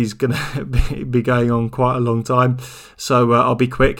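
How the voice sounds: At a moderate pace, a man speaks with a medium pitch and a fairly bright tone.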